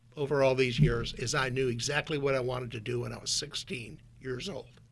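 With an Upper Midwest accent, the voice has a bright, sharp tone. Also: man. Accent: Upper Midwest American. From US Midwest (North Dakota). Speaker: former CEO. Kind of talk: radio interview. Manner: down-to-earth.

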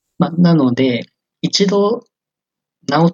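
Dry and close with no echo, a man's voice carries a fairly high pitch and lively intonation. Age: 20s. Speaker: software engineer. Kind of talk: interview. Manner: hesitant, many fillers.

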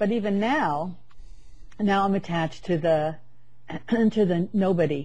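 In a room with audible echo, a woman with a dark, mellow, somewhat breathy voice speaks at a fairly slow pace in a medium pitch, with ordinary pitch variation, very even loudness and long, frequent pauses. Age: 60s. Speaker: spiritual author. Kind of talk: casual chat.

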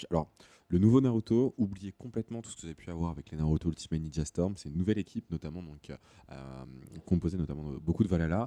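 A man's very deep, low voice with a dark, mellow tone, very fast pace, lively intonation and big swings in loudness, in a dry, close sound with no echo. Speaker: video game journalist. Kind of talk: casual chat.

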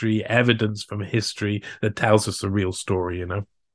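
On a very clean recording with a silent background, a man with a Cardiff accent speaks at a fairly quick pace. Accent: Welsh (Cardiff). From Wales, Cardiff. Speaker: investigative journalist. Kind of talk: interview conversation. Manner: halting, many fillers.

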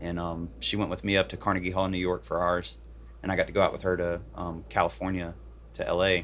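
Speaking at a very fast pace, a man with an American accent has a very deep, low pitch, lively intonation and vocal fry. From Virginia, Bridgewater. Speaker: professional guitarist. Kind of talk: casual interview. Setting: parked camper van.

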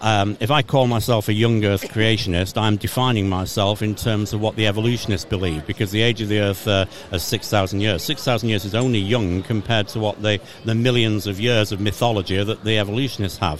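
With an English accent, a man talks at a fairly quick pace with hardly any pauses. His pitch is fairly low, his intonation fairly even, and there is noticeable background noise. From England. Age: 50s. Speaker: creation ministry speaker. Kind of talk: casual interview. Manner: halting.

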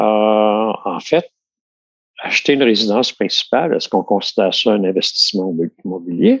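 Moderate-paced speech in a Quebec accent with long, frequent pauses and very even loudness. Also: man. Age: 60s. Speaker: retiree. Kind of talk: casual chat.

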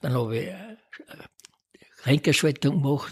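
The man's voice has a somewhat breathy edge. It sits in a middle register. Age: 80s+. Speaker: retired amateur cyclist. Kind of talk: interview. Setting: home kitchen.

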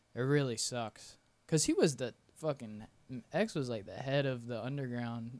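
Medium in pitch, this man has an ordinary speaking voice and an American accent. He keeps a moderate pace with ordinary pitch variation. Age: 20s. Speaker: photographer and videographer. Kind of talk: casual chat.

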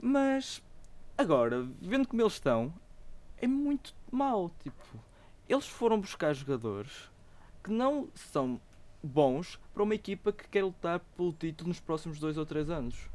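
With a European Portuguese accent, the speaker moves at a fairly slow pace with long, frequent pauses on a very clean recording over a silent background. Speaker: podcast host. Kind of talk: casual chat.

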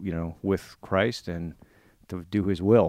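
A man with an American accent speaks in a very deep, low voice on a very clean recording with a silent background. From Virginia, US. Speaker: investment executive and army veteran. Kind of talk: interview.

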